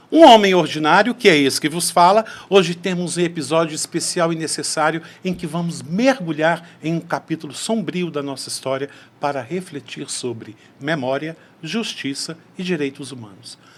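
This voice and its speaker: A man talks in an ordinary speaking voice with ordinary pitch variation. His loudness swings a lot. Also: fairly high pitch for a man, moderate pace. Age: 60s. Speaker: podcast host. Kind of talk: interview conversation.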